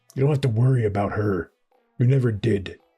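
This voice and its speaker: A man does a put-on character voice, raspy and at a medium pitch, speaking at a fairly quick pace over faint music in the background. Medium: machinima. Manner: candid, laid-back.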